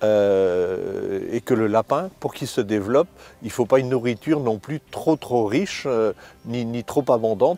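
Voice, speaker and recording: A man's dark, mellow voice at a medium pitch, fairly slow, with ordinary pitch variation and a dry, close sound with no echo. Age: 60s. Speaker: rabbit hunter, hunting club vice-president. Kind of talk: interview in a hunting documentary. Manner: hesitant, many fillers and repetitions.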